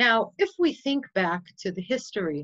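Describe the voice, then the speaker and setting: This woman has a Chicago accent and a medium pitch. Her intonation is lively. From US Midwest, Chicago. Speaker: nonprofit community organizer. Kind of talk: online presentation.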